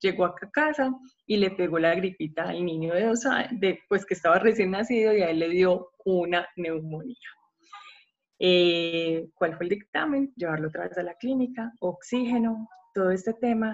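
This woman has an unremarkable speaking voice at a medium pitch. She talks at a moderate pace with lively intonation. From Colombia, Medellín. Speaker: psychologist and parenting coach. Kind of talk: podcast talk.

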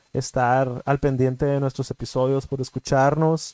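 In a Mexican accent, a man speaks fairly slowly with a fairly high pitch and a dark, mellow tone, recorded dry and close with no echo. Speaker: podcast co-host. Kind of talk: casual chat.

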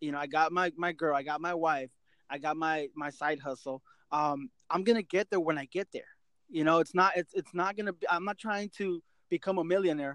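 A man's high-pitched voice moves at a fairly quick pace, with a dry, close sound and no echo. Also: ordinary pitch variation. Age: 30s. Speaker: podcast host. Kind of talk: casual chat.

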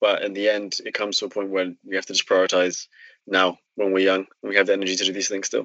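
A man speaks at a very fast pace in a fairly low pitch. His intonation is monotone and flat. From UK. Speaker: startup co-founder. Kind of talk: casual interview.

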